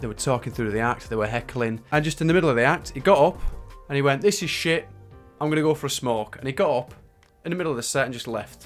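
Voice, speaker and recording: With music in the background, a man with a Northern English accent and a fairly high pitch speaks at a very fast pace. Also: ordinary pitch variation. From Northern England. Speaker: magician and stand-up comedian. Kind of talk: casual talk to camera. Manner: chatty storytelling.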